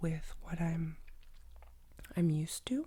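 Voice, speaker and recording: A woman is whispering at a fairly slow pace. Her voice is somewhat breathy. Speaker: art tutorial youtuber. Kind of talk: tutorial. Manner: casual, chatty. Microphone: professional USB microphone.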